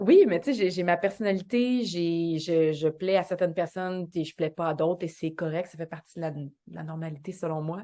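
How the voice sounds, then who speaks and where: In a Quebec accent, a woman with a dark, mellow tone and fairly low pitch speaks at a moderate pace with ordinary pitch variation and big swings in loudness over a quiet background. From Quebec, Montreal South Shore. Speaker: actress and dancer. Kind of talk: podcast interview.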